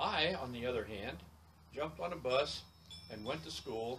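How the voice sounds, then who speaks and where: Using an American accent, a man talks in a medium pitch at a moderate pace. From Wyoming, US. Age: 80s+. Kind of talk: interview. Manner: halting.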